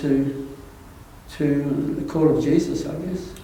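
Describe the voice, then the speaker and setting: With an Australian accent, a man speaks at a very slow pace and fairly high pitch in a monotone, flat intonation, amid audible room echo and noticeable background noise. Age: 80s+. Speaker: church council chairman. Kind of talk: interview. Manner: halting.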